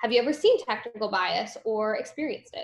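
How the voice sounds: At a moderate pace, a woman speaks with a fairly high pitch and a fairly bright tone.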